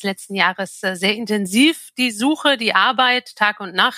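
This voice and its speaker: Recorded very cleanly with a silent background and a dry, close sound with no echo, a woman speaks at a fairly slow pace in a bright, sharp tone. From northern Germany, Altes Land near Hamburg. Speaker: travel company managing director. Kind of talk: interview.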